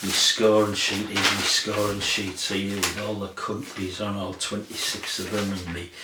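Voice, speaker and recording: A man with a northern English accent talks at a fairly slow pace and fairly low pitch. Audible room echo and noticeable background noise are present. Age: 60s. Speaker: music vlogger. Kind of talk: casual chat. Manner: rambling, hesitant with fillers.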